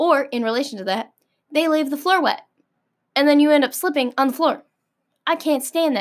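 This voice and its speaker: A high-pitched woman with an American accent, animated in tone, at a fairly quick pace with ordinary pitch variation and long, frequent pauses. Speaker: podcast host. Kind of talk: casual solo monologue.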